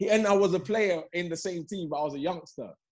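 This man speaks with a London accent. His pitch varies in an ordinary way. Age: 30s. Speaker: professional footballer. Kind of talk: casual chat.

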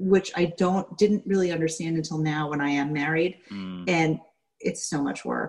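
Featuring an unremarkable speaking voice, a woman with an American accent talks at a moderate pace in a fairly low pitch with ordinary pitch variation. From New York, Staten Island. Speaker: former cult member. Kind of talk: interview testimony.

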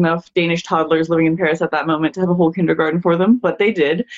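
Background noise can be noticed. Over it, a woman talks with an American accent. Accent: international English with American tinge. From Denmark. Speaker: guest.

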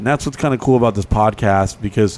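Using a plain, everyday voice, a man talks with a fairly low pitch and ordinary pitch variation. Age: 30s. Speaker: podcast co-host. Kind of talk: casual chat.

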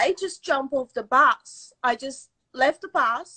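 With a raised, projected voice, a woman speaks at a high pitch. Her intonation is lively. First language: not English. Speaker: storyteller. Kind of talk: storytelling.

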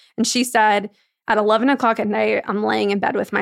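Speaking at a very fast pace, a woman with a medium pitch and vocal fry is heard on a very clean recording with a silent background. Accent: American. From New York. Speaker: entrepreneur. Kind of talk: casual chat.

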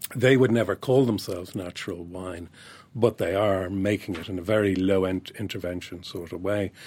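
A man with an Irish accent, very deep and low in pitch, at a moderate pace with fairly even intonation and big swings in loudness. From Ireland. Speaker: wine writer. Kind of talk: interview.

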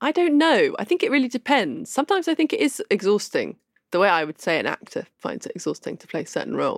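A woman's high voice at a very fast pace, with very wide pitch swings and a dry, close sound with no echo. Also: very clean recording, silent background. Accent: southern English. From London. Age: young. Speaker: novelist. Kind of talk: interview.

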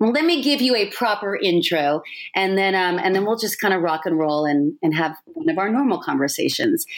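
Spoken at a moderate pace, this voice keeps its loudness very even while its pitch swings very widely. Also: woman. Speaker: podcast host and TV host. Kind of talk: casual interview conversation. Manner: animated.

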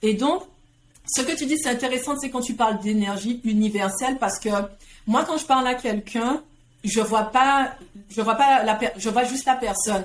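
A high-pitched woman at a moderate pace, with ordinary pitch variation and long, frequent pauses. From Guadeloupe. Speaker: entrepreneur and coach. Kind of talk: casual interview conversation.

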